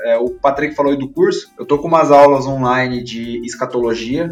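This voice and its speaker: A man's fairly quick speech competes with noticeable noise in the background. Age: 20s. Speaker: theology teacher and blogger. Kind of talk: podcast interview.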